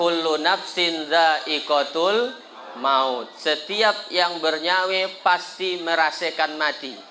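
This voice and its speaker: Audible room echo surrounds a man speaking very slowly at a high pitch, with ordinary pitch variation and very even loudness. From Indonesia, West Kalimantan (Sambas). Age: 30s. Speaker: Islamic preacher. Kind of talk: sermon at a community gathering. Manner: animated, joking.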